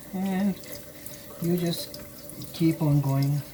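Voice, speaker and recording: A woman speaks at a very slow pace with ordinary pitch variation. Background noise is noticeable. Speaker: scale model hobbyist. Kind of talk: tutorial. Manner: halting.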